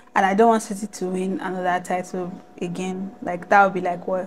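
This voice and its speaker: Speaking at a fairly quick pace, a woman is heard over noticeable background noise. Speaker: football YouTuber. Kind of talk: casual vlog commentary. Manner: loud.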